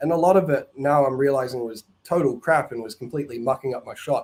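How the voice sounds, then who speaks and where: A man in a New Zealand accent, medium-pitched, talking very fast with fairly even intonation. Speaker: caller. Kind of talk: call-in conversation.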